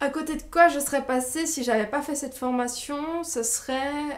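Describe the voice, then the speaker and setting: Audible room echo hangs around the recording. Within it, a woman talks at a fairly slow pace. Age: 20s. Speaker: training graduate and business coach. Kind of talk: testimony. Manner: hesitant, many filler sounds.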